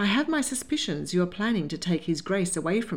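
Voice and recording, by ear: A natural voice reading aloud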